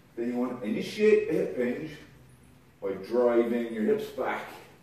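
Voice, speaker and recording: Light background noise and strong room echo surround a man speaking at a fairly slow pace. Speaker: kettlebell coach. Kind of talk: tutorial. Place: garage. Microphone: camera far.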